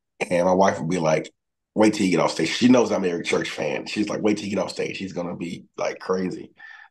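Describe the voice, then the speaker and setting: A man with a Southern US accent at a very fast pace. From Mississippi, near Memphis. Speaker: singer-songwriter; guest. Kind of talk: interview. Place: home room. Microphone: video call.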